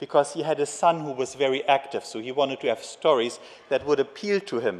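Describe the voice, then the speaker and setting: A man talks at a fairly quick pace with a German accent. Noticeable background noise can be heard. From Germany. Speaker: geneticist and conference speaker. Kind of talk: conference lecture. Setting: conference stage with audience.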